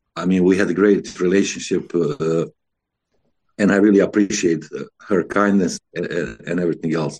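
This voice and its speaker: A man with a Bosnian accent and a dark, mellow tone at a fairly quick pace. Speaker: former contest singer. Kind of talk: interview.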